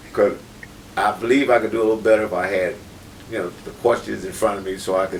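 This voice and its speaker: Over noticeable background noise, a man with an American accent talks very fast in a fairly low voice. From Detroit. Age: 70s. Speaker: menswear business owner. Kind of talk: casual interview.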